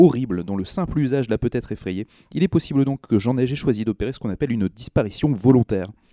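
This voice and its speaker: Very fast and dark, mellow in tone, a man talks with ordinary pitch variation. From Brittany, France (Brest). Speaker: food columnist. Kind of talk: casual chat. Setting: studio.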